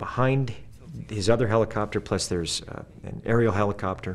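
An ordinary speaking voice from a man, fairly quick in pace and fairly even in intonation. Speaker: actor promoting a film. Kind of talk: interview answer. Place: studio.

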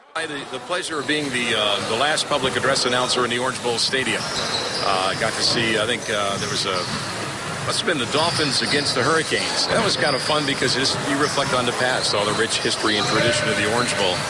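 Against loud background noise, a man talks at a very fast pace, and the sound is dry with no echo. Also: hardly any pauses. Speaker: public address announcer. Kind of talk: interview answer. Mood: fond, reflective. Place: hall. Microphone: handheld.

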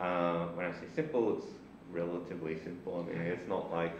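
A man speaks with a very deep, low voice and fairly even intonation. There is noticeable background noise and audible room echo. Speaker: lecturer. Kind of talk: lecture. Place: classroom.

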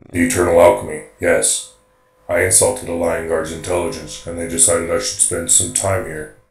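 Putting on a character voice with a very deep, low pitch, a man talks at a fairly quick pace with a slight echo. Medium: audio drama. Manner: formal, literal, robotic.

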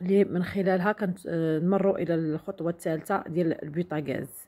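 A woman speaks with a Moroccan accent at a fairly slow pace. Her fairly low pitch has a dark, mellow tone and ordinary pitch variation. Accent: Moroccan Darija with French loanwords. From Morocco. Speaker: beauty product sales vlogger. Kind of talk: product demonstration vlog. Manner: halting with fillers. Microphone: phone near.

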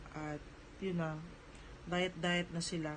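A somewhat breathy voice at a moderate pace. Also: woman. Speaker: vlogger and small store owner. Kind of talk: casual vlog talk.

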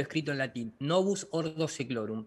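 The man's intonation rises and falls in a lively way. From Argentina, La Plata; Argentina. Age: 40s. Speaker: flat-earth lecturer, visual effects director; flat-earth lecturer. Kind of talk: interview. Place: home room. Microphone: video call.

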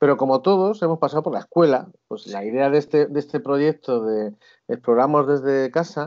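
With lively intonation and a fairly high pitch, a man speaks at a fairly quick pace in a quiet background. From Spain. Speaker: schoolteacher and traveller; schoolteacher. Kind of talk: casual interview. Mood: friendly, warm. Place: home room. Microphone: video call.

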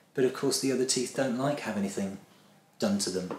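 Light background noise and audible echo from the room around a male voice. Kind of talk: interview answer. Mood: friendly, explanatory. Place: office.

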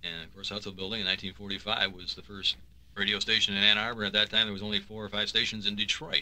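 The voice is bright and sharp, moving at a very fast pace with monotone, flat intonation and big swings in loudness. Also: man, fairly low pitch for a man. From US Midwest. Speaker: radio station general manager. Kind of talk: reminiscing radio conversation. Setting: radio studio.

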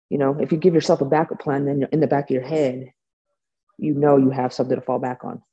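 A woman's very deep, low voice, dark and mellow, at a very fast pace with fairly even intonation. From US West Coast, San Francisco Bay Area; US West Coast. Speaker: bare knuckle fighter; guest. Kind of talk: interview; interview answer. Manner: casual, halting with fillers. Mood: confident, candid. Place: home room. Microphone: video call.

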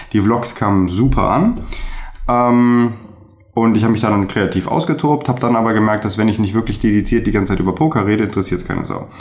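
A man speaks very fast, his pitch moving in an ordinary way. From Germany, Remscheid (North Rhine-Westphalia); North Rhine-Westphalia. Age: 30s. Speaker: videographer; guest. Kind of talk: interview. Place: home room. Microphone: webcam.

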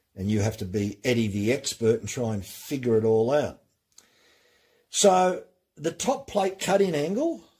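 The man's tone is dark and mellow, somewhat breathy. He keeps a moderate pace. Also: quiet background. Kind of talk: tutorial. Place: workshop.

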